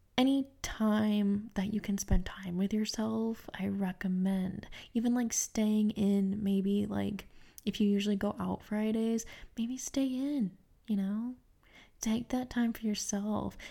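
A woman speaks at a very slow pace in a fairly high, somewhat breathy voice. Her tone is dark and mellow, and her intonation is fairly even. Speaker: podcast host. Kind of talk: solo self-help podcast talk. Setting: home recording with microphone.

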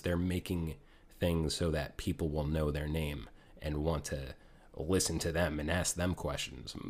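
Here a man speaks at a moderate pace with fairly even intonation. His pitch is very deep and low. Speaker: podcast host guest. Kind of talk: casual chat. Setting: remote call.

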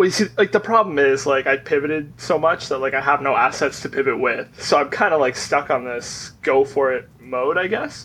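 A man speaks loudly at a moderate pace in a fairly high pitch. His tone is bright and sharp, with ordinary pitch variation. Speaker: fantasy league player. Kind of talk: casual chat.

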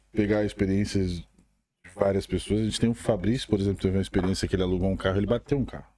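Very fast and fairly low, a man's voice has a dark, mellow tone and fairly even intonation. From Rio Grande do Sul, southern Brazil. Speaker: podcast co-host. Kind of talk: casual chat. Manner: talkative.

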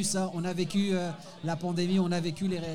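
Over crowd noise in the background, a man with a high pitch talks at a fairly quick pace. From France, Moroccan family. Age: 40s. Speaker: stand-up comedian. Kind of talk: casual chat. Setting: bar stage with live audience.

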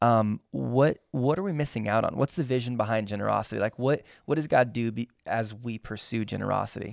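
A man with a plain, everyday voice talks at a fairly quick pace and a medium pitch, with ordinary pitch variation and hardly any pauses. The very clean recording has a silent background and a dry, close sound with no echo. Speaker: pastor. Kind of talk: casual chat.

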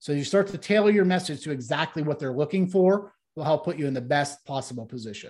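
A fairly high, somewhat breathy man's voice at a very fast pace, with ordinary pitch variation and hardly any pauses. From Ohio, US Midwest. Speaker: corporate training company president. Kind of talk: interview.

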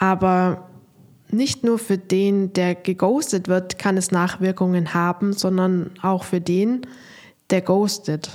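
A woman speaks at a very slow pace with fairly even intonation and very even loudness. The recording is very clean, with a silent background. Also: medium pitch for a woman. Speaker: dating coach, podcast host. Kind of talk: podcast monologue with advice.

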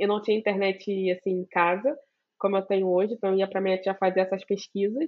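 The woman talks very fast. Her pitch stays at a medium level. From Brazil, Duque de Caxias (Baixada Fluminense, Rio de Janeiro). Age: 20s. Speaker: computer science student and science communicator. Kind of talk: interview.

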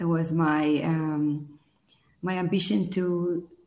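With fairly even intonation, a woman speaks at a fairly low pitch amid audible room echo. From Israel. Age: 40s. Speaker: power coach. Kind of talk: interview.

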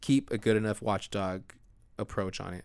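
A man talks in an ordinary speaking voice, fairly low in pitch with ordinary pitch variation. The recording is very clean, with a silent background. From US, Mexican-American family. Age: 30s. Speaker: city council candidate. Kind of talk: casual interview.

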